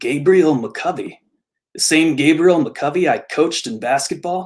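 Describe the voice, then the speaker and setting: This man puts on a gruff character voice at a fairly high pitch. He speaks at a moderate pace with ordinary pitch variation. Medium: read story.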